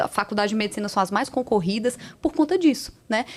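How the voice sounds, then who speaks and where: Over noticeable background noise, a woman with a Ceará accent talks fairly quickly in an animated tone with lively intonation. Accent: Northeastern Brazilian (Ceará). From Ceará, Brazilian Northeast. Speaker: cardiologist and entrepreneur. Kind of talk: podcast interview.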